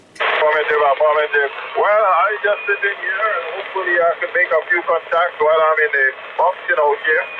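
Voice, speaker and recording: Someone with a slight West Indian accent speaks at a fairly quick pace amid noticeable background noise. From Grenada, West Indies. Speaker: truck driver, radio operator. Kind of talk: radio contact chat. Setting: mobile radio in truck, Jasper Park.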